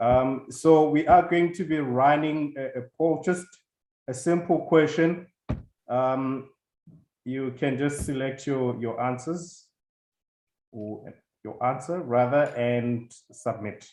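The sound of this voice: At a slow pace, a man talks at a medium pitch, with audible room echo. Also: ordinary pitch variation, slightly mellow tone.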